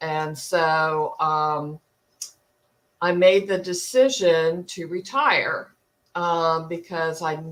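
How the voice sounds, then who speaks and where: A woman with an American accent, fairly low in pitch, with ordinary pitch variation. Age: 60s. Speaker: retired nurse, coaching client. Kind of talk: interview testimony. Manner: hesitant, many fillers.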